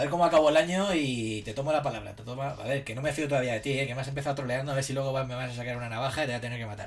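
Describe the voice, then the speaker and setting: Over noticeable background noise, a man at a medium pitch talks at a very fast pace with hardly any pauses. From Spain, Alicante (San Vicente). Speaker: livestreamer. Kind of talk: casual chat. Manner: animated.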